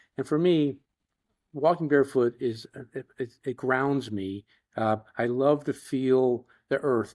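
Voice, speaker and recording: A man speaks with an American accent at a medium pitch, with ordinary pitch variation and a fairly slow pace. The sound is dry and close, with no echo. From Florida, US. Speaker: tech company CEO. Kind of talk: casual chat. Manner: halting.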